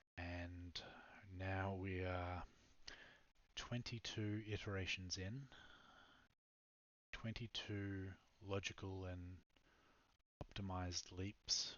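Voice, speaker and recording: A man whispering with an Australian accent. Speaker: startup founder and programmer. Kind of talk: product pitch. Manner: halting, many fillers.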